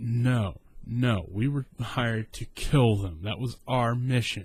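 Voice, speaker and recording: A man does a put-on character voice that comes out shrill at a medium pitch with ordinary variation. He delivers it at a fairly slow pace. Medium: solo performance. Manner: screeching.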